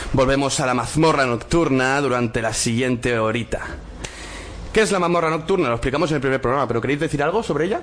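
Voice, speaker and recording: Noticeable background noise sits behind a man speaking at a very fast pace. His pitch is fairly high, with ordinary pitch variation. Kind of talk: casual chat.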